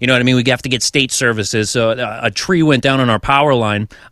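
At a very fast pace, a man speaks. His pitch sits in the medium range. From Massachusetts, US. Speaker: podcast host and musician. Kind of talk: casual chat.

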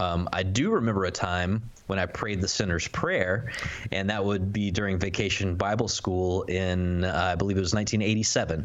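A man's very deep, low voice at a moderate pace, with fairly even intonation and very even loudness, amid noticeable background noise and audible room echo. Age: 30s. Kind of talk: casual chat.

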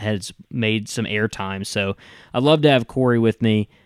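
A man with a Southern US accent, fairly low pitch and a moderate pace, on a very clean recording with a silent background. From Tennessee. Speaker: podcast host. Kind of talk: casual interview chat.

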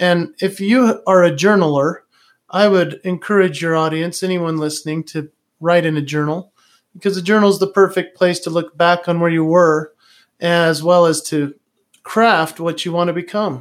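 In a very clean recording with a silent background, a man with an American accent talks at a moderate pace in a high pitch, his intonation fairly even. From Utah. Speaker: entertainer and speaker. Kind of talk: interview.

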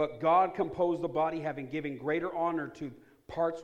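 At a moderate pace, a man talks in an animated tone. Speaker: preacher. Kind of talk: sermon, preacher in full flow. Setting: church with congregation. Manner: animated, call-and-response; exhorting, rhetorical questions.

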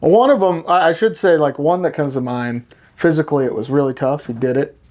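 An unremarkable speaking voice moves at a fairly quick pace with ordinary pitch variation against a quiet background. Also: man. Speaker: podcast host, hunter. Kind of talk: casual chat. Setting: studio.

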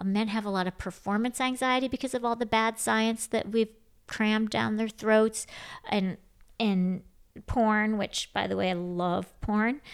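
With an American accent and a normal speaking voice, a woman talks fairly slowly at a fairly high pitch with fairly even intonation, recorded very cleanly against a silent background. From Michigan, Grand Rapids. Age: 50s. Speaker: author. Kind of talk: interview. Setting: at home.

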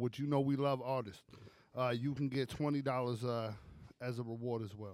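An unremarkable speaking voice from a man with an American accent, medium-pitched and at a fairly quick pace. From Brooklyn, New York. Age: 30s. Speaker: podcast co-host. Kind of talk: sales pitch; casual chat.

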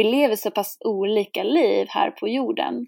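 Here a woman speaks at a very slow pace. The recording is very clean, with a silent background. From Sweden. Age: 20s. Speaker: singer-songwriter and shamanic priestess. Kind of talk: interview conversation.

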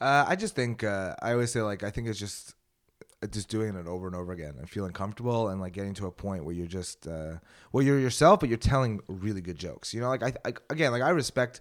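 Talking very fast with a fairly low pitch, a man with a Montreal accent uses lively intonation and an animated tone on a very clean recording with a silent background. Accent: Montreal Anglo Canadian English. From Montreal, Canada. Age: 30s. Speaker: stand-up comic. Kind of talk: casual chat in a podcast interview, with comedic storytelling. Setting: podcast studio. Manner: animated, rambling, profane and self-deprecating.

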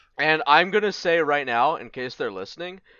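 This man's fairly high voice carries vocal fry and very wide pitch swings at a moderate pace. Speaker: podcast co-host. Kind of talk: casual banter.

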